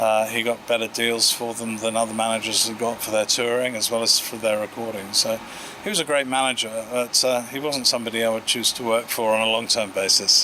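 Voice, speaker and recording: Noticeable background noise sits under a man talking with an English accent. He goes at a fairly quick pace with monotone, flat intonation. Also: medium pitch for a man. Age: 60s. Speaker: audio company founder. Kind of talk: interview. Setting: award event. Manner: hesitant, many fillers.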